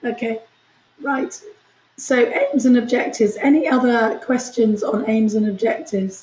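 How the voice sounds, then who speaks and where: A woman with a high-pitched voice speaks at a moderate pace amid audible room echo. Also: ordinary pitch variation. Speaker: university lecturer. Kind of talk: lecture.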